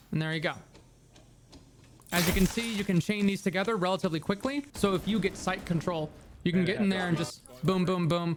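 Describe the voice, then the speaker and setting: Music plays in the background. The speech moves fairly quickly, broken by long, frequent pauses. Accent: American. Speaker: gaming YouTuber. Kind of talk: casual anecdote; game tutorial.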